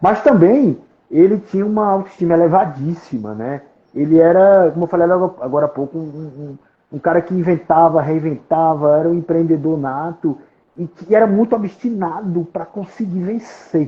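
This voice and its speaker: A man with a Paraíba accent, high-pitched, with ordinary pitch variation and a moderate pace. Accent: northeastern Brazilian (Paraíba). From Paraíba, Brazil. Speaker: collector and author on a folk musician. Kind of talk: interview on a live stream. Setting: online live stream. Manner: halting, many repetitions.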